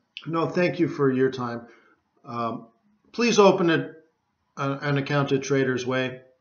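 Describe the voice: A fairly slow-paced man's voice, plus audible room echo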